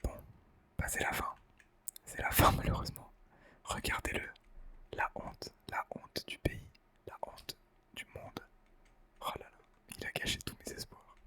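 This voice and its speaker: A man whispers at a fairly slow pace, with long, frequent pauses and big swings in loudness. Noticeable background noise runs underneath. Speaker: ASMR gaming creator. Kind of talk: ASMR gaming commentary. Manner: whispered.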